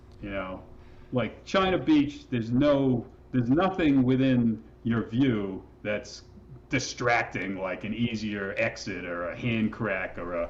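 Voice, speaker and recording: Here a man speaks at medium pitch in a plain, everyday voice. His intonation is lively. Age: 60s. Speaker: rock climber and guidebook author. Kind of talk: casual interview conversation. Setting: podcast interview. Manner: relaxed, with many fillers and restarts.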